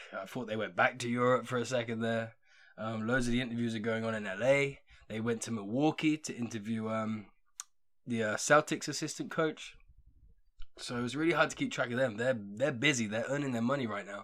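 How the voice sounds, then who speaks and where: With an English accent, a man talks at a fairly quick pace and medium pitch, with ordinary pitch variation. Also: very clean recording, silent background. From England. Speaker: podcast host. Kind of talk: casual chat. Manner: casual.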